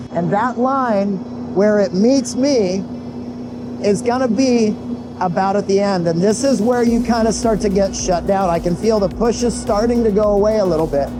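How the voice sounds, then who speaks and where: A shouting man with a high voice, ordinary pitch variation, a moderate pace and very even loudness, with music in the background and audible room echo. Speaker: pro wakeboarder and wakesurf coach. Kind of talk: tutorial. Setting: outdoors, wakesurfing behind a boat. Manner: loud, near-yelling.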